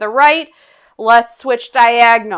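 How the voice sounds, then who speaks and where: Upbeat and energetic, a woman speaks in a high voice with a bright, sharp tone. The background is quiet. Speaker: fitness instructor. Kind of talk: guided exercise class. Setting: online video class. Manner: upbeat, energetic, coaching in short commands; counts aloud and paces reps with timing cues. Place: home room.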